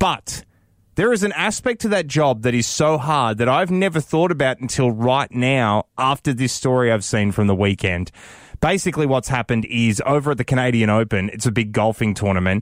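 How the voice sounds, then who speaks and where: A man with an Australian accent and medium pitch talks at a fairly quick pace with lively intonation and very even loudness. The very clean recording has a silent background and a dry, close sound with no echo. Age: 30s. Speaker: radio host. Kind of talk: casual chat. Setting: studio.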